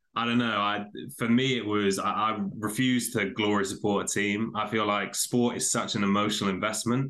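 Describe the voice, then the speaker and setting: In a British accent, a man with a fairly low pitch and a bright, sharp tone speaks at a moderate pace in a monotone, flat intonation with very even loudness against a quiet background. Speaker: podcaster. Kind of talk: casual interview.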